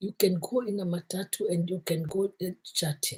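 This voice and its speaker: A woman's somewhat breathy voice sits at medium pitch as she talks at a moderate pace. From Kenya. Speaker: motivational vlogger. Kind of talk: motivational talk.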